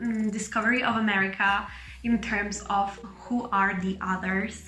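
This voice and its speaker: With a slight Italian accent, a woman speaks at a medium pitch and a moderate pace, her intonation monotone and flat and her loudness very even. Audible room echo and noticeable background noise surround her. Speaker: medical student and vlogger. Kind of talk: casual vlog monologue.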